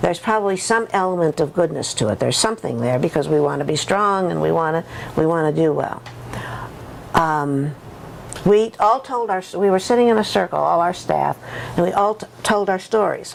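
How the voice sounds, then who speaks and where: Against noticeable background noise, a woman talks at a moderate pace. Her fairly low pitch carries lively intonation. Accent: American. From USA. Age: old. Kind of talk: interview testimony. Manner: halting, many repetitions and false starts.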